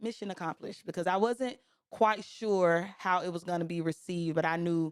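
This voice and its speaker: In a Southern US accent, a woman with medium pitch speaks in an animated tone at a moderate pace, the sound dry and close with no echo on a very clean recording with a silent background. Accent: Southern, country. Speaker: podcast host. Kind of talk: casual chat.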